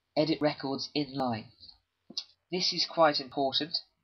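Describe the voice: The speaker goes at a fairly slow pace with a slightly husky edge and fairly even intonation. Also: man, fairly high pitch for a man.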